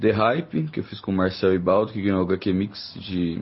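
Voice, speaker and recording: The man's voice is very deep and low in pitch. His pitch varies in an ordinary way. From Brazil, Minas Gerais (Uberlândia). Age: 30s. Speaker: comic book artist. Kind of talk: recorded voice message answers. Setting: remote recording sent via messaging app.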